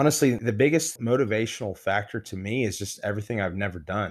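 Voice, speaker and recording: Talking at a very fast pace with ordinary pitch variation, a man speaks with an American accent. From Texas (Midland). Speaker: former bodybuilder. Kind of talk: casual interview chat.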